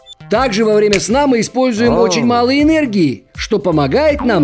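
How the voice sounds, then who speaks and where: A man's voice with very wide pitch swings and hardly any pauses, over music in the background. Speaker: voice actor. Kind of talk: educational cartoon narration for children. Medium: cartoon.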